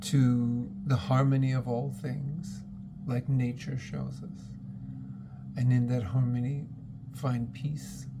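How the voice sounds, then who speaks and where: A very slow pace and long, frequent pauses over noticeable background noise. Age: 60s. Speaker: spiritual channel host. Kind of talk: spiritual monologue.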